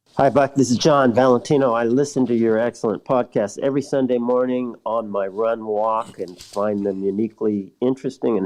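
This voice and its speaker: A man talks fairly quickly in a normal speaking voice, with hardly any pauses. His medium pitch follows fairly even intonation. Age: 60s. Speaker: listener sending voice message. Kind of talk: recorded listener message.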